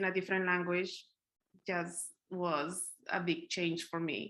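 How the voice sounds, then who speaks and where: A woman in a Spanish accent with a bright, sharp tone and a fairly slow pace. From Colombia (Bogotá). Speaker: poet. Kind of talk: interview.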